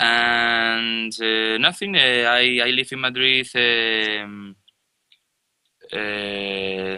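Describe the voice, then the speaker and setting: Very slowly and with fairly even intonation, a man with a Spanish accent speaks at a fairly low pitch. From Spain, Galicia (Ourense, A Coruña). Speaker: musician and producer. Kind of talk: interview. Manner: halting.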